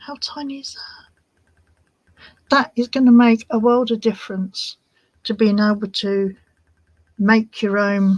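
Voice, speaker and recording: With a British accent, a woman speaks at a fairly slow pace in a fairly high, somewhat breathy voice, her intonation fairly even and her pauses long and frequent. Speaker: crafting livestream host. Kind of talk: casual livestream tutorial. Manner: whispering at times.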